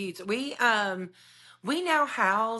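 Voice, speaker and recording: Her tone is bright and sharp, in a Southern US accent. The woman is heard against a quiet background. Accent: Southern twang. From North Alabama (Decatur). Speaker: realtor. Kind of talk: podcast interview. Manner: animated.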